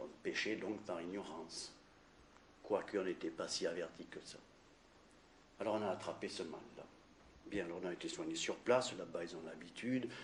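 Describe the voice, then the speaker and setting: A man speaks at a fairly low pitch and moderate pace. He leaves long, frequent pauses, with ordinary pitch variation. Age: 60s. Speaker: cancer survivor giving testimony. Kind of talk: testimony. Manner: halting.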